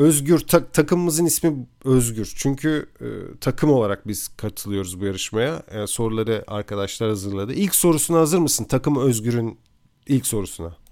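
Here is a man with a plain, everyday voice at a medium pitch and lively intonation. He goes at a moderate pace with hardly any pauses, in a very clean recording with a silent background. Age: 30s. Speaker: podcast co-host. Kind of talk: casual chat.

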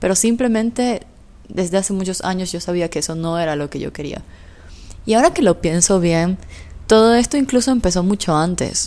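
Talking at a fairly quick pace, a woman of medium pitch uses lively intonation and a dark, mellow tone. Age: 20s. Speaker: podcast host. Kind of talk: solo podcast monologue.

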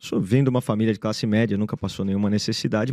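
Man's dark, mellow tone in a dry, close sound with no echo. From Canada, Brazilian parents. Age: 40s. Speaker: business school founder and investor. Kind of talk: interview.

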